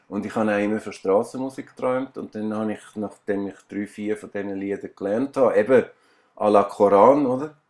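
In a very clean recording with a silent background, a man talks at a fairly quick pace and a fairly low pitch, with big swings in loudness. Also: fairly even intonation. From Switzerland, Aargau. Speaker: musician and painter. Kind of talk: interview. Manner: halting.

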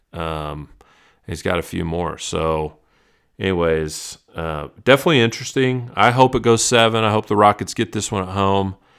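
A man with an American accent speaks in an unremarkable speaking voice at a fairly low pitch and a moderate pace. The recording is very clean, with a silent background. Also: lively intonation. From Texas, Dallas. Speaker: sports card podcast host. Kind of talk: casual solo podcast monologue. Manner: casual, filler-heavy with repetitions.

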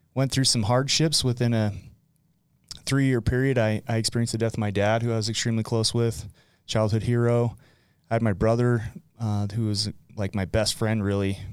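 Spoken with a Utah accent and fairly even intonation, the voice has long, frequent pauses on a very clean recording with a silent background. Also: man, medium pitch for a man, moderate pace, very even loudness. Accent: Utah American. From Utah (West Point). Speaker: recovery speaker and former teacher. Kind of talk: casual interview. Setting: studio.

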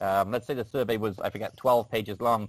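A man with an English accent at a very fast pace, fairly even intonation, dry, close sound with no echo, very clean recording and silent background. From rural England, UK. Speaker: craft beer data analyst. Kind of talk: casual interview chat.

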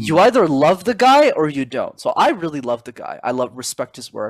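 With a Canadian accent and a plain, everyday voice, a man speaks at a moderate pace with ordinary pitch variation, recorded very clean against a silent background with a dry, close sound and no echo. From Montreal, Canada. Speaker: public speaking coach. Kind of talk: interview.

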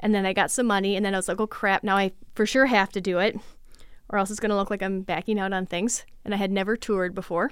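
A woman with an American accent talks very fast in a monotone, flat delivery. The recording is very clean, with a silent background. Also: medium pitch for a woman. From Minnesota, west central (Litchfield). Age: 30s. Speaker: artist and arts nonprofit director. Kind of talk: interview conversation. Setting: studio.

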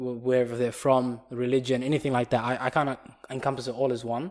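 This man talks at a fairly quick pace with an Australian accent. His pitch is medium for a man. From Perth, Australia. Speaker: podcast co-host. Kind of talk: casual chat.

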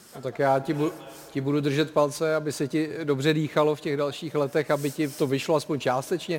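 A man speaks at a fairly quick pace in a fairly high pitch, his intonation monotone and flat. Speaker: talk show host. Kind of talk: football talk show. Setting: studio with live audience.

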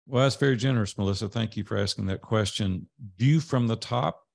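A man with a Tennessee accent talks at a fairly quick pace and medium pitch, with ordinary pitch variation, against a quiet background. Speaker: business coach. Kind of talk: podcast interview.

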